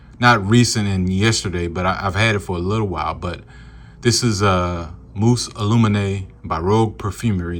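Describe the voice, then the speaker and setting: The speech moves at a moderate pace with fairly even intonation. Room echo is audible throughout. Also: man. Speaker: fragrance reviewer. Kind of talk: product review video. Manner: casual with many fillers.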